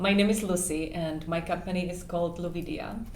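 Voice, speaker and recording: With a non-native accent, a woman speaks at a fairly quick pace and medium pitch, with audible room echo and noticeable background noise. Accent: noticeable foreign. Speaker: dating coach and matchmaker. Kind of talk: interview. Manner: hesitant, many fillers.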